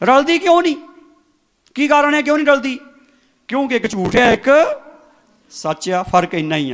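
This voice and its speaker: There is lively intonation in this man's speech. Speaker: church preacher. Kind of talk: sermon / Bible preaching to congregation.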